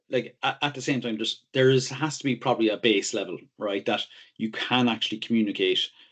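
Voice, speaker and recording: Delivery comes at a fairly quick pace. The intonation stays fairly even. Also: man, medium pitch for a man. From Ireland. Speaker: technology consultant. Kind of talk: interview. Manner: halting, many repeated words.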